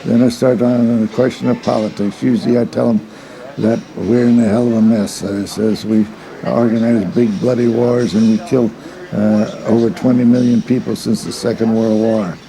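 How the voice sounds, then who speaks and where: A man with an American accent talks at a moderate pace. Noticeable background noise is present. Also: medium pitch for a man, fairly even intonation. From Indiana, US Midwest. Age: 80s+. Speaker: political activist. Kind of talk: documentary interview. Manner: halting, with many fillers.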